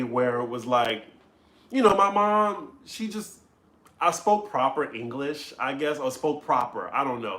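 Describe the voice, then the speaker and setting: Speaking fairly slowly in a slight New Orleans accent, a man with a fairly high voice uses lively intonation. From US South, New Orleans. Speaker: comedy vlogger. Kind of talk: live stream chat with viewers.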